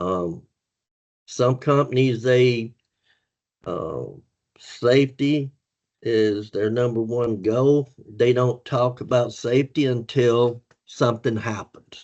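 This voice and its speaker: Speaking very slowly with long, frequent pauses, a man keeps a medium pitch and fairly even intonation. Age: 60s. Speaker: former truck driver turned safety manager. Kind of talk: podcast interview.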